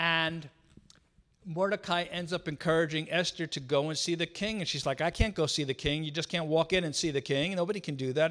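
This man has a fairly high pitch and a New York accent, with ordinary pitch variation. The recording is very clean, with a silent background. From New York City. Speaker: visiting missionary speaker. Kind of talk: church talk. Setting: church.

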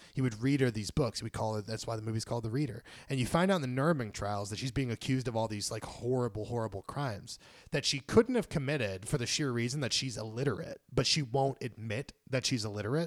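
A very fast, animated male voice at a medium pitch, with ordinary pitch variation, on a very clean recording with a silent background. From Puerto Rican background, grew up in inner-city US. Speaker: screenwriter and comic writer. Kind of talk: casual chat. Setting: home recording.

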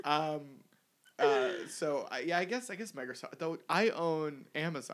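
A man with a normal speaking voice talks at a fairly slow pace, his fairly high pitch moving in lively intonation. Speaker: podcast host. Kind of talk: casual chat.

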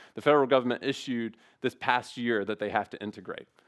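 With an American accent, a man with an ordinary speaking voice talks at a fairly quick pace in fairly even intonation. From US South, Memphis area. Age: 30s. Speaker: guest preacher. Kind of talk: sermon.

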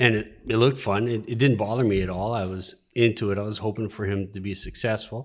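A man's ordinary speaking voice, fairly low in pitch, with fairly even intonation, a fairly quick pace and hardly any pauses. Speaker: nurse and moose hunter. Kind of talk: casual chat. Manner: joking, playful.

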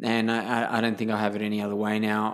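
At a moderate pace, the speaker talks with an Australian accent. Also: man. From Sydney, southwest suburbs, Australia. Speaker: clown performer and photographer. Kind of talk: casual interview. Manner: animated, laughs often.

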